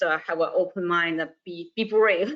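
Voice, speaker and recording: A woman's medium-pitched voice with a Chinese accent, fairly slow pace and ordinary pitch variation. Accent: non-native, Chinese. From northern China. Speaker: university staff, alumna. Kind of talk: webinar interview. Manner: halting, many fillers and repeats.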